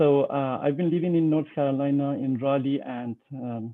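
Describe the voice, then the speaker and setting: A man speaks with an American accent. His voice sits at a medium pitch. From Iran. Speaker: real estate broker and civil engineer. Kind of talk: presentation. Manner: slow; halting, many fillers.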